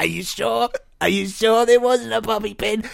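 The speaker uses a put-on character voice that sounds strained. It moves at a moderate pace. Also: man, high pitch for a man. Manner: choking, strained.

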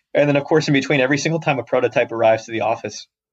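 With a bright, sharp tone and an American accent, a man talks at a very fast pace using ordinary pitch variation. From US South, suburbs of Atlanta, Georgia. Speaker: startup founder and CEO. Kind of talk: podcast interview. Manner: many filler words and repetitions.

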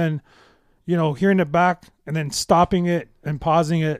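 A man speaks in a normal speaking voice, pitched fairly high, at a moderate pace with fairly even intonation. The recording is very clean with a silent background and a dry, close sound free of echo. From Toronto, Canada. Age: 40s. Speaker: DJ and music producer. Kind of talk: casual interview chat.

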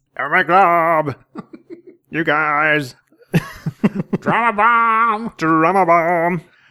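A put-on character voice at a middle pitch talks at a very slow pace. Long pauses come often. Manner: dramatic, whiny, exaggerated.

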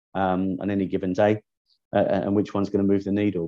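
Very fast delivery from a man in a London accent, fairly low in pitch with a dark, mellow tone. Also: quiet background. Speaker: tech startup founder, former airline executive. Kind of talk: interview.

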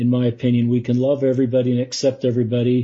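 A somewhat breathy man at medium pitch with an American accent, at a very fast pace. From US West, Utah (Salt Lake City). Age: 50s. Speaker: lay church leader. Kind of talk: interview. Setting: podcast.

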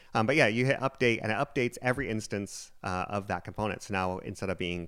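Very clean and set against a silent background, this recording has a man talking at a very fast pace. His tone is animated, and his pitch varies in an ordinary way. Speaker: podcast host. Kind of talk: casual banter, podcast intro and interviews. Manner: joking, self-deprecating, animated.

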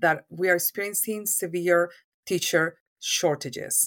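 A woman with a Spanish accent, fairly low pitch and fairly even intonation, at a fairly slow pace, in a very clean recording with a silent background. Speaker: university professor and program director. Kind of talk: interview.

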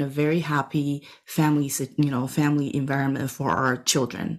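A woman with a Taiwanese accent, very deep and low-pitched, at a moderate pace. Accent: Taiwanese Mandarin-accented English. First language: Mandarin Chinese. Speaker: memoir author. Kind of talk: podcast interview.

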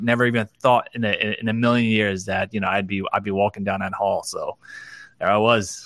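A man speaks at a fairly quick pace with a fairly low pitch and a bright, sharp tone. His intonation is fairly even, and the very clean recording has a silent background and a dry, close sound with no echo. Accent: New Jersey. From New Jersey (Clifton). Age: 40s. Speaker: entrepreneur, digital designer. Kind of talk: casual interview.

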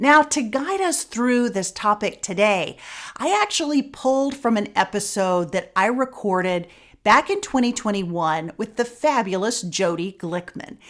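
Here is an unremarkable speaking voice from a woman with a fairly high pitch and lively intonation. She goes at a fairly slow pace in a very clean recording with a silent background. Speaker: podcast host. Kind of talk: interview, conversational podcast. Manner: warm, friendly.

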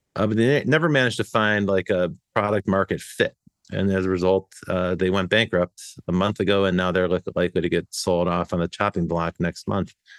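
A man's very deep, low voice at a fairly quick pace, with very even loudness and fairly even intonation, in a very clean, silent recording with a dry, close sound and no echo. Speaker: podcast host. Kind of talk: casual chat.

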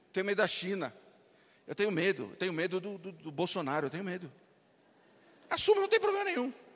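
A man with a high pitch and an animated tone, at a very fast pace broken by long, frequent pauses, with big swings in loudness, ordinary pitch variation and noticeable background noise. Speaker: marketing entrepreneur and motivational speaker. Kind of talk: motivational talk. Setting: stage with audience.

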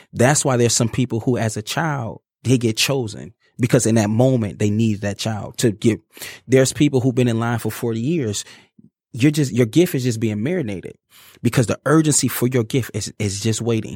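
A man's ordinary speaking voice at a medium pitch, with ordinary pitch variation and a fairly quick pace. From Detroit, US Midwest. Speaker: motivational speaker and engineer. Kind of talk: interview, testimony. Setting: studio.

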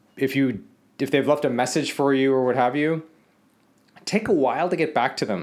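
Pitched fairly high, this man talks with an American accent. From Los Angeles, US. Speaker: podcast host. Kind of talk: casual solo podcast monologue. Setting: villa in the Philippines. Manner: casual, conversational.

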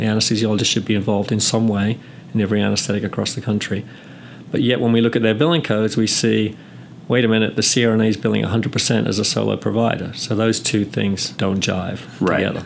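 A man talks very fast in a fairly low voice, with very even loudness. His intonation stays fairly even against noticeable background noise. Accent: English. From England. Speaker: nurse anesthetist and professor. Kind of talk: interview. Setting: recorded interview, 2015.

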